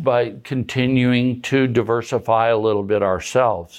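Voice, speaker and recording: A man talks with an Upper Midwest accent. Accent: Upper Midwest American. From South Dakota, Madison. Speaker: farm equipment dealer. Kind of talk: interview. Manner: halting, many fillers.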